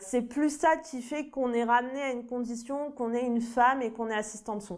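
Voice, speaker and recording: A woman's fairly high voice at a moderate pace. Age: 20s. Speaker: TV sound assistant and floor manager. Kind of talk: interview testimony. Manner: hesitant with fillers.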